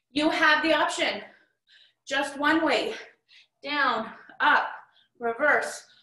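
In a raised, projected voice with a bright, sharp tone, a woman speaks at a very slow pace with long, frequent pauses, with audible room echo over a quiet background. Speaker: fitness instructor. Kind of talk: workout instruction. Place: home room. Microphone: camera far.

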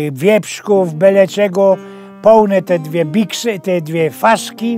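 Someone speaks at a very slow pace with a Silesian accent. Faint music plays in the background, and the sound is dry with no echo. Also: man. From Silesia, Poland. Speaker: storyteller. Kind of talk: humorous anecdote told in dialect. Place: studio. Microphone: lapel.

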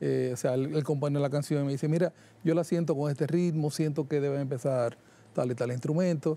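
With a Dominican Cibao accent, a man talks at a fairly quick pace and fairly high pitch, with ordinary pitch variation and a dark, mellow tone. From Dominican Republic, Santiago de los Caballeros; Dominican Republic. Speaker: jazz musician and music producer; guest. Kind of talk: interview. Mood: relaxed, friendly. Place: studio. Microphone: lapel.

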